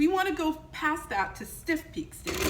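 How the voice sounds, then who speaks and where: With noticeable background noise, a woman talks at a moderate pace in a high-pitched voice with a calm, gentle tone. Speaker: home economics teacher. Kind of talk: cooking tutorial. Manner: calm and gentle.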